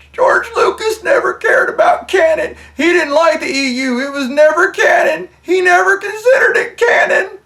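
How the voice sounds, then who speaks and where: Using a put-on character voice at an extremely high pitch, a man talks at a moderate pace. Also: hardly any pauses. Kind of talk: sarcastic, argumentative. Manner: mocking impression.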